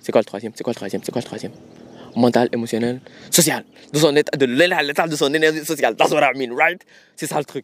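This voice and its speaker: A man's animated, fairly high-pitched voice at a fairly quick pace, broken by long, frequent pauses, with ordinary pitch variation and a dry, close sound with no echo. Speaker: podcast host. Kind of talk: casual solo monologue. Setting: outdoors in nature. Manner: animated, code-switching French and English.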